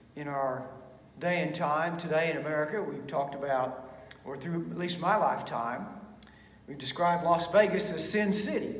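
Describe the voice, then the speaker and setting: The man talks at a fairly quick pace with ordinary pitch variation. There is audible room echo. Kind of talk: sermon. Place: church. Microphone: podium.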